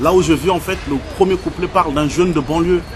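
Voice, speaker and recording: With music in the background, a man talks at a fairly quick pace and a fairly high pitch. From Congo, then Paris suburbs (Val-de-Marne) from age 12. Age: 20s. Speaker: rapper. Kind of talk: interview. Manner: casual.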